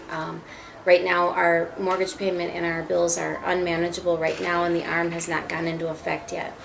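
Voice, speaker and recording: Over noticeable background noise and audible room echo, a woman with an American accent speaks at a moderate pace in a fairly low pitch, her intonation monotone and flat. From US Midwest, Minneapolis. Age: 40s. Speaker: homeowner facing foreclosure. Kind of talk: interview.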